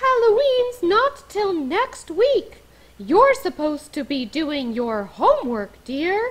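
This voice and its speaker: Putting on a character voice, a woman speaks at a fairly slow pace with extremely high pitch and very wide pitch swings. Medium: read story. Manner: gentle, motherly.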